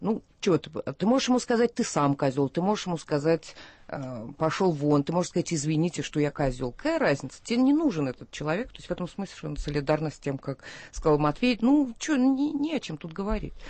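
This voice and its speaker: A woman with a fairly low pitch talks at a fairly quick pace. Her pitch swings very widely and her loudness shifts a lot. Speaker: poet. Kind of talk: radio talk show. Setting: studio.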